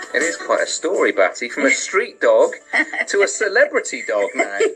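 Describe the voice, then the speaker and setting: Music plays in the background. A man is speaking. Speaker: BBC local radio breakfast show presenter. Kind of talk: radio presenter talk.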